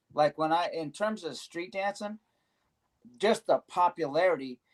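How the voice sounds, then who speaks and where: A man with a plain, everyday voice at a fairly slow pace with ordinary pitch variation. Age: 60s. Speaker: veteran locking dancer. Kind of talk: casual panel discussion. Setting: live stream.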